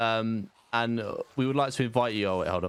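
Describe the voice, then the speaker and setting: A man's medium-pitched voice, ordinary pitch variation, noticeable background noise. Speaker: gaming streamer. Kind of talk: casual gaming storytime narration. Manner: casual, joking.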